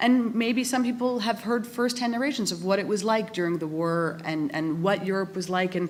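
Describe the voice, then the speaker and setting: Over noticeable background noise, a woman with a Canadian accent talks at a moderate pace in a medium pitch with ordinary pitch variation. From Canada. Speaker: academic respondent at a conference. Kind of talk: panel debate response.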